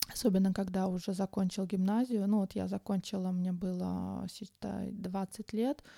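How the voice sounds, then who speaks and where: Her voice is medium in pitch and dark and mellow in tone as this woman speaks at a moderate pace in a monotone, flat intonation with hardly any pauses, in a dry, close sound with no echo. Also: very clean recording, silent background. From Uzbekistan, Tashkent. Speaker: podcaster. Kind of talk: personal monologue. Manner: hesitant, many filler sounds.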